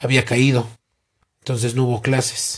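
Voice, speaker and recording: A man speaks in a somewhat breathy voice. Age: 40s. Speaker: interviewee, earthquake survivor. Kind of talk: interview.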